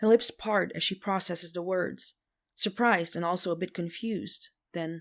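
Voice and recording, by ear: The pitch varies in an ordinary way as text is read aloud in a natural voice. Behind it, all is quiet.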